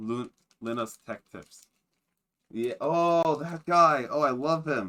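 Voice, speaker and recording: The voice has a bright, sharp tone and ordinary pitch variation. It moves at a very slow pace with long, frequent pauses. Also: man. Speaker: streamer. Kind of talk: casual chat. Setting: live stream. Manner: halting.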